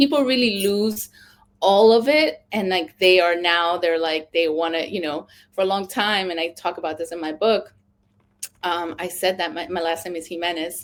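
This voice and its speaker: This woman has a Spanish accent. She keeps to a moderate pace. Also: fairly low pitch for a woman, ordinary pitch variation. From Cali, Colombia, then New York from age 8. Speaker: author. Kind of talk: interview. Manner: animated, filler-heavy casual speech.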